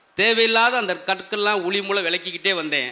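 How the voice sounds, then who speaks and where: A man's raised, projected voice at an extremely high pitch, over noticeable background noise. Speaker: stand-up comedian. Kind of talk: comedy speech to a live audience.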